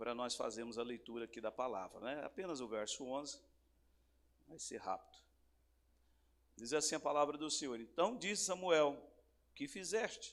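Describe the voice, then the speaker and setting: A man's fairly high voice, moderate in pace, with very wide pitch swings and long, frequent pauses. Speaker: pastor. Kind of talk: sermon. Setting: church service with congregation.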